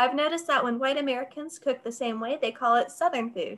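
Amid light background noise, a woman with a high pitch projects a raised, bright, sharp voice at a fairly quick pace with ordinary pitch variation. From North Carolina. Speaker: library event moderator. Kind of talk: moderated Q&A. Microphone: video call.

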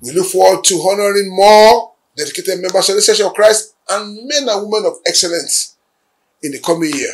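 Talking at a fairly quick pace, a man with a high-pitched voice shows big swings in loudness. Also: ordinary pitch variation. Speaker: church leader and channel head. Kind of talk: religious new year address. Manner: formal. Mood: solemn, hopeful. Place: office.

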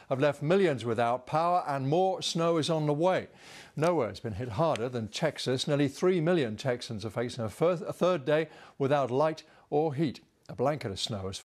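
A man talks at a moderate pace over a quiet background. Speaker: news presenter. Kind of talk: news reading. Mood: serious, measured. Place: studio.

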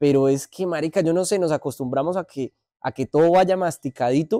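The sound is dry and close with no echo as a man speaks at a high pitch. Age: 30s. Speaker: podcast co-host. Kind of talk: casual chat.

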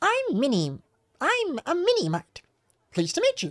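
A put-on character voice at an extremely high pitch, delivered at a moderate pace. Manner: chirpy, friendly.

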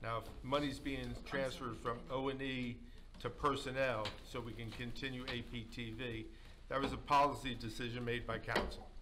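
Over noticeable background noise, a man talks at a moderate pace in a medium pitch, with a bright, sharp tone, vocal fry and monotone, flat intonation. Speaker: mayor presiding over council. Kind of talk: council meeting. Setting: council chamber. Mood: firm, somewhat defensive. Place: meeting room.

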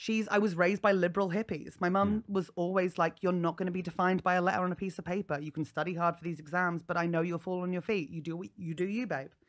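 Speaking very fast with hardly any pauses, a woman uses a southern English accent and a fairly low pitch. Her intonation is fairly even, and the background is quiet. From England, North East Hampshire; England. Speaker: comedian. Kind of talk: casual chat. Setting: comedy festival podcast recording. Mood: humorous, candid. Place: studio. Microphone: studio mic.

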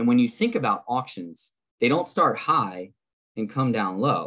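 With lively intonation, a man speaks at a moderate pace over a quiet background. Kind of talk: presentation lecture. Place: home room. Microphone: webcam.

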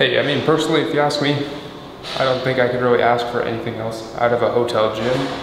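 Speaking fairly quickly with fairly even intonation, a man is heard amid noticeable background noise. The room echo is audible. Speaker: fitness vlogger. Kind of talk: casual vlog chat. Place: gym. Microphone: phone near.

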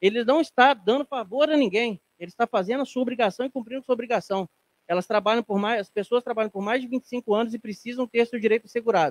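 Extremely high in pitch, a man talks at a very fast pace. The sound is dry, with no echo. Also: ordinary pitch variation. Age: 30s. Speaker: city councilman. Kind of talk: legislative session speech. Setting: council chamber. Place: hall. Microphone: handheld.

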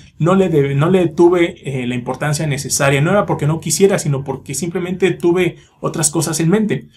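A man's fairly quick, somewhat breathy voice with a confident tone and ordinary pitch variation. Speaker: YouTuber, metal music reviewer. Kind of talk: casual vlog monologue. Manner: fluent, confident. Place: home room. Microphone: phone near.

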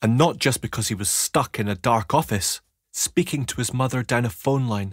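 A quiet background behind plain reading aloud

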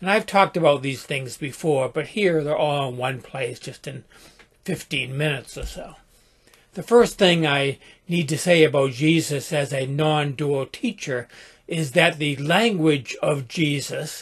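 At a fairly slow pace, a man speaks in a somewhat breathy voice with ordinary pitch variation over a quiet background. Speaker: spiritual teacher. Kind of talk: reflective talk. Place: home room. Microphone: webcam.

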